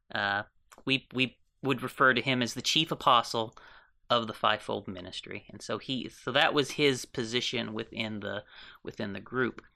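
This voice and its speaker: On a very clean recording with a silent background, a man with a bright, sharp tone speaks at a moderate pace and medium pitch, his intonation fairly even and his loudness swinging widely. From Canada, New Brunswick. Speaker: minister and former sect member. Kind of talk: interview testimony.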